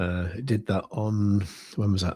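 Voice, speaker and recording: A soft-spoken man talks at a fairly slow pace in a somewhat breathy, fairly low voice. The recording is very clean, with a silent background. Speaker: crypto trading livestreamer. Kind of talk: casual livestream commentary. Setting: livestream at home at night. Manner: quiet, soft-spoken.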